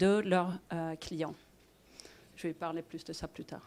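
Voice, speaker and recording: A woman with a Swedish accent is heard on a very clean recording with a silent background. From Sweden. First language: Swedish (speaking French). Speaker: fintech client executive. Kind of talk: panel discussion. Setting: stage with audience.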